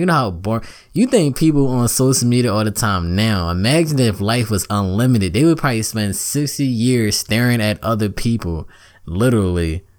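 An animated man with an American accent, medium pitch, ordinary pitch variation and a fairly quick pace. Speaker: podcast host. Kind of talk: casual monologue podcast. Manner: animated, casual slangy.

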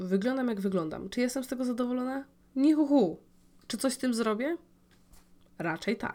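Her voice is high, with a dark, mellow tone and lively intonation. She talks at a fairly quick pace but leaves long, frequent pauses. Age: 20s. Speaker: podcast host. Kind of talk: personal monologue. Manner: casual, with filler sounds.

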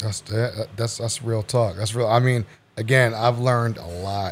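A man's somewhat breathy voice with a Baltimore accent. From Baltimore, Maryland. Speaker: podcaster. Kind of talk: casual chat.

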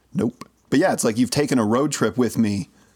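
The text is read in a plain way. It is plain reading aloud.

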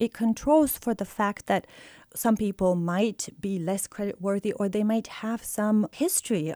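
In a Bulgarian accent, a woman speaks at a fairly slow pace with a medium pitch and a dark, mellow tone. The recording is very clean with a silent background, and the sound is dry and close with no echo. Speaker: economics professor. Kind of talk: interview.

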